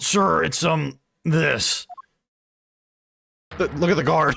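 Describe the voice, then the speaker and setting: Raspy and very slow, this is a put-on character voice. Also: man, fairly high pitch for a man. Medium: game stream. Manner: blustery, stammering.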